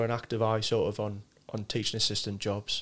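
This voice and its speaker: In a Sunderland accent, a man speaks at a medium pitch. His intonation is monotone and flat, and his pace is moderate. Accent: Mackem (Sunderland). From Sunderland, northeast England. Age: 40s. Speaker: RAF serviceman. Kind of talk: casual interview chat.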